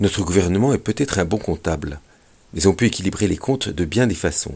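Keeping a moderate pace, a man talks with pitch that varies in an ordinary way. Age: 60s. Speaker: retired veterinary school teacher, radio commentator. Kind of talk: scripted radio commentary. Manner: formal.

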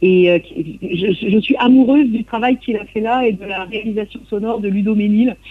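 A woman with a fairly high voice and ordinary pitch variation is heard against noticeable background noise. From Brittany, Côte de Granit Rose (Lannion area). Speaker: traditional singer. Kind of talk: radio interview. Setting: remote interview from Brittany. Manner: halting, many repetitions and hesitations.

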